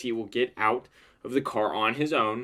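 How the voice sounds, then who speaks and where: A man mumbles in a bright, sharp tone. The recording is very clean, with a silent background. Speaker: lawyer commenting on videos. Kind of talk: legal analysis monologue. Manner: mumbling; explanatory, repetitive emphasis.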